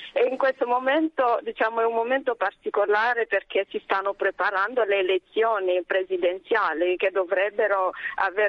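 Female speech at a medium pitch, its rises and falls normal. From DR Congo, South Kivu. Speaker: nun, superior general of a congregation. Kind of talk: radio interview. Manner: hesitant, many fillers.

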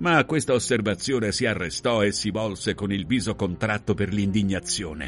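The clip has a natural reading voice.

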